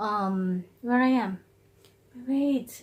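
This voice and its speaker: With pitch that moves in an ordinary way, this woman's voice comes across somewhat breathy. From Philippines. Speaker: mukbang vlogger. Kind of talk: casual vlog chat.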